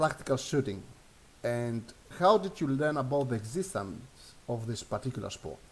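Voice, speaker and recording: The voice belongs to a man with a Greek accent. He speaks at a moderate pace. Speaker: online show host. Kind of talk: interview. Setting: live stream. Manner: halting.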